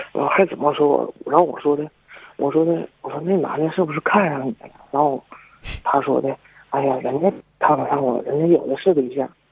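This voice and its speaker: Speaking at a fairly quick pace, a man with a fairly high pitch and fairly even intonation has an unremarkable speaking voice. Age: 20s. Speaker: caller, university student. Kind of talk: call-in advice chat. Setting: phone call.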